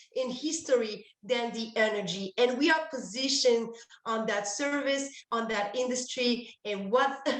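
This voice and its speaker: A woman speaks in a French accent with a high pitch. Audible room echo is present. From France. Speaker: energy services presenter. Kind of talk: webinar presentation. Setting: online event call. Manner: halting, many fillers.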